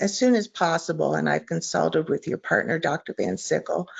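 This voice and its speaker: A woman speaks over noticeable background noise. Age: 60s. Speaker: Parkinson's patient asking a question. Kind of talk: question from audience. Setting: online webinar call.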